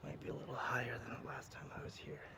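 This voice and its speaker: Soft-spoken, the speaker talks at a fairly quick pace. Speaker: ASMR creator. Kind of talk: ASMR nature walk talk to camera. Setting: outdoors.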